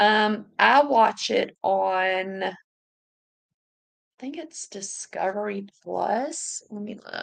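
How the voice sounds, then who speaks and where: Speaking very slowly with long, frequent pauses, a woman with a Southern US accent uses ordinary pitch variation. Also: medium pitch for a woman. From US South. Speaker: YouTuber reading live chat. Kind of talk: casual livestream chat. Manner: animated.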